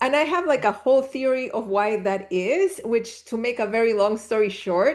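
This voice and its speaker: Fairly high-pitched speech from a woman with a Spanish accent against a quiet background. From Chile. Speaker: spiritual teacher. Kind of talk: interview conversation.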